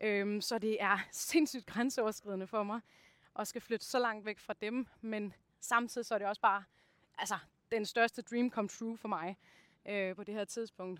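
On a very clean recording with a silent background and a dry, close sound with no echo, a woman speaks at a fairly slow pace in a fairly high voice with fairly even intonation. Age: 30s. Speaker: actor and mindset coach. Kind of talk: personal testimony. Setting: outdoors on a walk. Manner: halting, many fillers.

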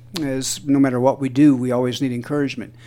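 Delivering a plain, everyday voice, a man speaks at a medium pitch and a moderate pace with fairly even intonation. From southeast Missouri, US. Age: 60s. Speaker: musician. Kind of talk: interview.

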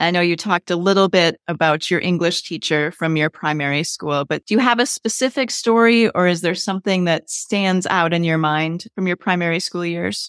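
In a very clean recording with a silent background and a dry, close sound with no echo, a woman with a fairly low pitch uses an ordinary speaking voice, ordinary pitch variation, a moderate pace, and hardly any pauses. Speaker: podcast host. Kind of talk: podcast interview with sponsor reads.

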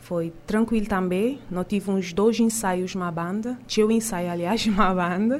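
In a normal speaking voice, a woman at medium pitch talks at a fairly slow pace with fairly even intonation and hardly any pauses. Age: young. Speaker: singer. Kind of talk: radio interview. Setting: studio.

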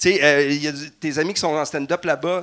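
A bright, sharp tone in a Quebec accent. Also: man. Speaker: comedian and former nurse. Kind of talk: live stage show chat. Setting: stage with audience.

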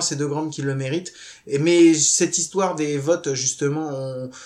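A man's ordinary speaking voice, pitched fairly high, at a moderate pace with ordinary pitch variation. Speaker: podcast host.

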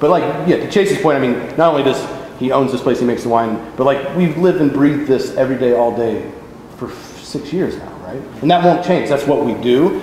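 A man's fairly high voice, fairly quick, with ordinary pitch variation, amid noticeable background noise and audible room echo. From Northern California (Davis). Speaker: wine business partner. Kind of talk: oral history interview. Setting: winery tasting room.

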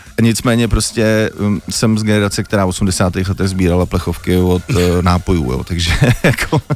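Noticeable background noise behind a man's very deep, low voice, moderately paced, its pitch varying in an ordinary way. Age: 40s. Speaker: visual artist. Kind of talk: radio interview. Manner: hesitant, many fillers.

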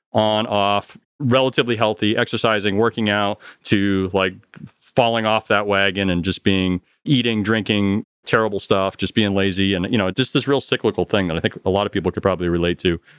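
Using a plain, everyday voice, a man talks at a fairly quick pace with fairly even intonation. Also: fairly low pitch for a man. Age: 40s. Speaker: sit-in co-host. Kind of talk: casual chat.

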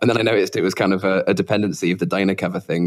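At a very fast pace, a man with a very deep, low pitch speaks with fairly even intonation. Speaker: podcast co-host, developer relations. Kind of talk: casual chat.

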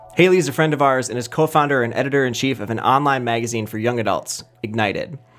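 A man talks at a very fast pace with a fairly high pitch and ordinary pitch variation. Noticeable background noise runs underneath. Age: 20s. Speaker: podcast host. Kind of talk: casual interview; scripted intro and outro.

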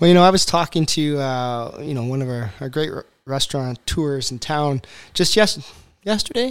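A man's fairly high voice in a Canadian accent, with lively intonation, big swings in loudness, and a moderate pace. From Eastern Ontario, Canada. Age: 40s. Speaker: accountant and podcast host. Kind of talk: casual interview. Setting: studio.

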